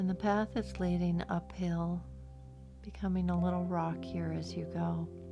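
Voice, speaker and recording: The speaker uses a calm, soothing tone at a fairly slow pace with music in the background. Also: woman. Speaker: meditation guide. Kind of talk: guided meditation. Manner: slow, calm, soothing.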